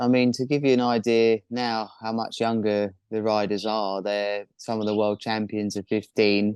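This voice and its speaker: Hardly any pauses interrupt a man at medium pitch speaking with a southern English accent. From southern England, near Brighton. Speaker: professional kiteboarder. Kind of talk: interview.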